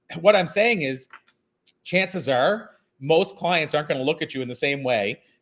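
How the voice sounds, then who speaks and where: A man talks at a fairly quick pace in a fairly high pitch with lively intonation. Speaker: keynote speaker. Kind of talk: interview. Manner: fast.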